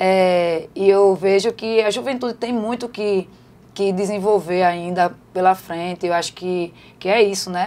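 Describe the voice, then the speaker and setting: A woman speaks in a dark, mellow tone at medium pitch. Her pace is fairly slow and her intonation fairly even. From Recife, Pernambuco, Brazil. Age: 40s. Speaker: city councillor and housing activist. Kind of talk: podcast interview. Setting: studio. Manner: halting, many repetitions.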